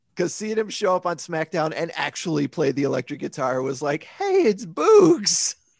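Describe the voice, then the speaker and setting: A man's voice at high pitch with ordinary pitch variation. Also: moderate pace, hardly any pauses. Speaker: podcast co-host. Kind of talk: casual chat about pro wrestling.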